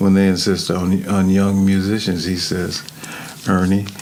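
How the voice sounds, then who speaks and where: A man talks in a very deep, low pitch with monotone, flat intonation. Noticeable background noise and audible room echo fill the recording. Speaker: music contractor and woodwind player. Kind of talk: interview. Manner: laid back; halting, many fillers.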